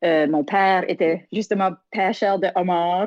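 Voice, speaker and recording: In an Acadian accent, a woman speaks with fairly even intonation. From Acadian Prince Edward Island, Canada. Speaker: singer and community development worker. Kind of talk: interview. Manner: halting, many repetitions.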